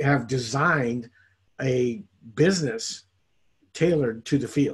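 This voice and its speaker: Somewhat breathy male speech at medium pitch, fairly slow, with ordinary pitch variation. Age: 60s. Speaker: network marketing distributor. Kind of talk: interview testimony. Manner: animated.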